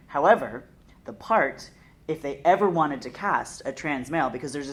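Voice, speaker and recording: A woman with a very deep, low pitch speaks at a fairly quick pace with lively intonation, and there is audible room echo. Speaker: theatre artist. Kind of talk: panel discussion. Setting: theatre.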